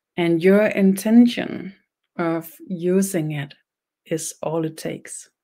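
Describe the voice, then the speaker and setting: A woman with a Danish accent, medium pitch, a dark, mellow tone, fairly even intonation and a very slow pace. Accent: Danish accent, noticeable. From Denmark. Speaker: spiritual teacher, shaman. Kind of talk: online webinar ceremony, spiritual teaching. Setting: online webinar. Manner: slow, simple speech; halting, repeats words.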